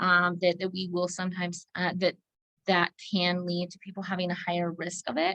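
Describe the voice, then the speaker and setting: With an ordinary speaking voice, a woman pitched fairly low talks at a fairly quick pace in a dry, close sound with no echo. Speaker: licensed counselor presenting a training. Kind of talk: online training presentation.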